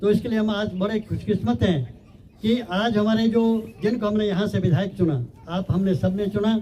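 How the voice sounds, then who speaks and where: A man's voice with ordinary pitch variation, heard over noticeable background noise and audible room echo. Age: 70s. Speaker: village elder, guest speaker. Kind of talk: public speech at prize ceremony.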